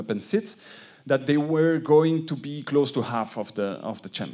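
A man's pitch variation is ordinary, and the background is quiet. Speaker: foundation director; conference panelist. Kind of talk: conference talk. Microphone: handheld.

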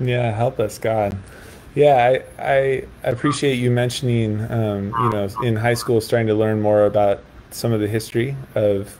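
Moderate pace, medium pitch, and fairly even intonation from a man, with noticeable background noise. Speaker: priest. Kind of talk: interview. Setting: video call.

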